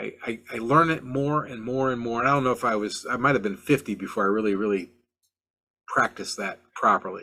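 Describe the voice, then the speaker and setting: On a very clean recording with a silent background, a man speaks in a bright, sharp voice of medium pitch. He talks at a fairly quick pace with ordinary pitch variation. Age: 60s. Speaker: car flipping podcast host. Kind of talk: podcast monologue. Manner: halting, frequent repetitions and fillers; animated.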